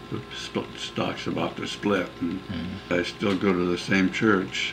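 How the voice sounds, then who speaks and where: A man with a Pacific Northwest accent speaks at a fairly slow pace in a very deep, low voice with ordinary pitch variation, over noticeable background noise. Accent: Pacific Northwest American. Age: 80s+. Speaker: retired businessman. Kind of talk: interview answer.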